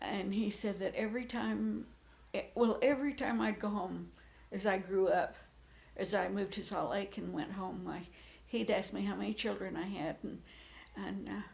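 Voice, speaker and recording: A woman with an American accent at a moderate pace, noticeable background noise behind her. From Utah, US (Gunnison). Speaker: interviewee recounting life history. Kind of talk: oral history interview. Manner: halting, many fillers.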